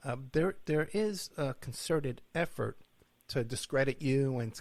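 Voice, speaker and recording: With an American accent, a man speaks at a medium pitch in an unremarkable speaking voice. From New York. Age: 60s. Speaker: podcast host, private investigator. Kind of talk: interview.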